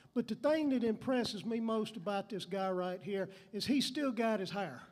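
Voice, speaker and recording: Speech in a Southern US accent at a moderate pace, with ordinary pitch variation. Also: man. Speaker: emcee introducing musicians. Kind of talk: stage introduction. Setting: stage with audience. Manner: animated.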